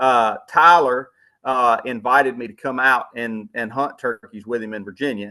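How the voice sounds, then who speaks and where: A man with a Southern US accent speaks at a moderate pace in a medium pitch, his bright, sharp tone rising and falling widely in loudness. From Louisiana. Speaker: outdoorsman, hunting TV personality. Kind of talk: podcast interview answer. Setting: remote call. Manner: casual, folksy, enthusiastic.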